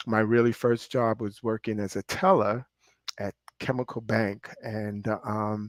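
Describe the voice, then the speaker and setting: A man with a New York accent, fairly low in pitch, at a fairly slow pace with fairly even intonation, in a dry, close sound with no echo. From Brooklyn, New York. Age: 60s. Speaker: pastor and real estate finance executive. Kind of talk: interview.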